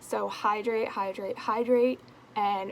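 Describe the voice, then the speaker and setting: A woman's fairly high-pitched, mumbled voice at a very slow pace, with ordinary pitch variation and noticeable background noise. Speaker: beauty vlogger. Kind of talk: casual talk to camera, product review. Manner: mumbling; casual, swearing.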